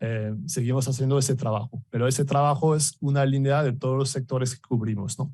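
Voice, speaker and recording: Speaking at a fairly quick pace with a French accent, a man has a dark, mellow, somewhat breathy tone, medium pitch, and fairly even intonation. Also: hardly any pauses. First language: French (speaking Spanish). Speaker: business director presenting at an industry event. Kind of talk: conference presentation. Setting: event hall with live audience, also streamed on video call. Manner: halting, many fillers and repetitions.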